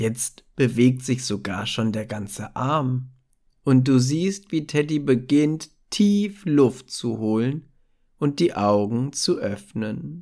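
Soothing and dark, mellow in tone, a man speaks at a very slow pace with a medium pitch and lively intonation. The recording is very clean, with a silent background. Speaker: meditation narrator. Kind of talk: guided meditation for children. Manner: soft, slow, soothing; gentle, warm, child-friendly.

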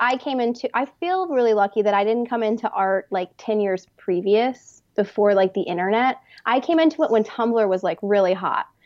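A woman with a plain, everyday voice, fairly high in pitch, with ordinary pitch variation. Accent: American. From Texas. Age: young. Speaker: artist. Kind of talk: interview conversation.

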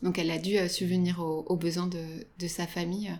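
On a very clean recording with a silent background, a woman talks at a fairly quick pace in a medium pitch. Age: 30s. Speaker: retail food buyer. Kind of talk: interview. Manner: hesitant, many fillers.

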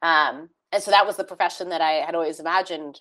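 A woman speaks with an American accent at a fairly quick pace. Her pitch varies in an ordinary way. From US West Coast, San Francisco Bay Area. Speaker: tech ethics company founder. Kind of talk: interview.

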